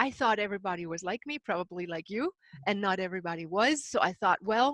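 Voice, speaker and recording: A woman with a German accent speaks at a medium pitch in a bright, sharp tone with ordinary pitch variation. The sound is dry and close with no echo, against a quiet background. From Himalayas and Germany. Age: 60s. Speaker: spiritual author and seminar leader. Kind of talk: interview.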